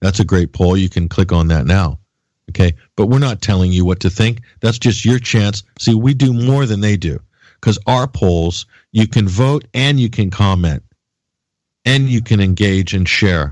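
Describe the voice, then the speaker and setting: A normal speaking voice from a man, fairly low in pitch, with ordinary pitch variation and very even loudness. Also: moderate pace. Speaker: radio host. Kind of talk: angry rant, fiery political tirade against mainstream media and Hollywood. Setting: live radio show and web stream.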